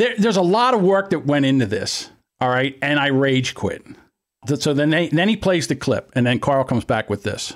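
In a Philadelphia accent, a man speaks at a moderate pace with an animated tone and very wide pitch swings from a fairly high pitch. His loudness stays very even on a very clean recording with a silent background. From Philadelphia area, US. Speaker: podcast host. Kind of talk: casual banter podcast. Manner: joking, animated, profane.

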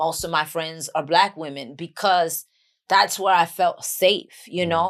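On a very clean recording with a silent background, a woman with a fairly low pitch and a New York accent speaks at a fairly slow pace with fairly even intonation. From Bronx, New York. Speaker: actress and author. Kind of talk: casual podcast interview.

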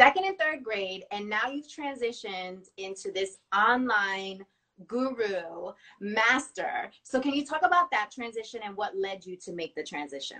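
A woman speaks in an ordinary speaking voice, pitched fairly high, with lively intonation. Her loudness swings widely. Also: fairly slow pace. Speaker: interviewer. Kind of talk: interview conversation. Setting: video call, IGTV series.

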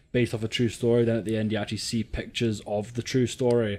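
A Scottish-accented man with a medium pitch and a dark, mellow tone, at a fairly quick pace. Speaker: podcast co-host. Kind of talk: casual chat.

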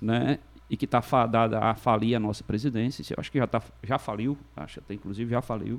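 Vocal fry at a fairly quick pace with fairly even intonation. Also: man, medium pitch for a man. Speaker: lawyer. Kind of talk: casual chat.

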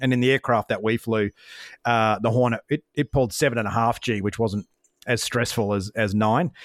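This man has an Australian accent, a medium pitch and fairly even intonation, speaking at a fairly quick pace. The recording is very clean with a silent background and a dry, close sound with no echo. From Australia, Brisbane. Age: 40s. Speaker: former fighter pilot and business coach. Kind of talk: interview conversation. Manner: fast.

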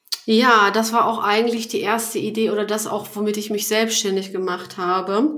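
With hardly any pauses, a woman speaks at a moderate pace in fairly even intonation and a fairly high pitch, with audible room echo and noticeable background noise. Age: 30s. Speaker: business founder and podcast host. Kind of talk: casual interview chat. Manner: hesitant, many fillers.

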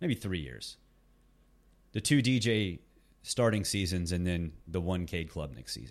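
A man with a very deep, low voice and vocal fry speaks at a fairly slow pace with lively intonation and long, frequent pauses, in a very clean recording with a silent background. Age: 40s. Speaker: college football podcaster. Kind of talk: casual solo commentary. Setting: in a parked car at school pickup line.

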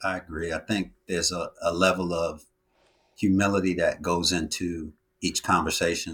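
A very deep, low male voice with an American accent, monotone and flat, at a moderate pace. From New York City. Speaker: IT consultant. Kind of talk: interview.

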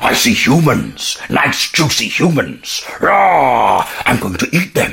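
Putting on a character voice, a man speaks high for his sex at a fairly slow pace, with hardly any pauses. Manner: growling, menacing, comic.

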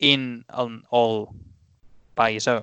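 Here a man speaks at a medium pitch in a bright, sharp tone. The sound is dry and close, with no echo. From Spain. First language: Spanish. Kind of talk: casual chat.

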